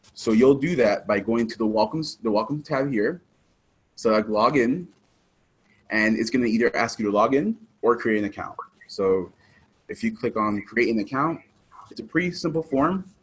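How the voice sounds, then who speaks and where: The speaker leaves long, frequent pauses. The intonation is lively. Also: man, medium pitch for a man. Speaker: software trainer. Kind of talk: tutorial. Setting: small room, online attendee. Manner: fast; casual, hesitant fillers.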